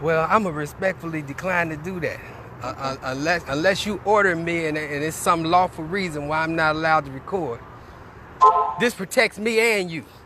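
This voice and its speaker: Against noticeable background noise, a man with a high pitch and ordinary pitch variation speaks at a moderate pace. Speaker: activist livestreaming a protest. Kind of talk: live street protest broadcast. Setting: outdoors on a sidewalk.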